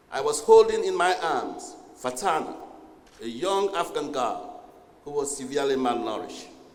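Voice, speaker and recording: Talking at a moderate pace, a man is heard with noticeable background noise and audible room echo. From Sierra Leone. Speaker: UN official. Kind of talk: formal speech. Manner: formal.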